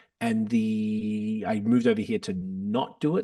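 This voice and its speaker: In an Australian accent, a man delivers a flat, monotone reading with a dark, mellow tone over a quiet background. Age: 40s. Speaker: podcast host and rapper. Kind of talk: casual chat.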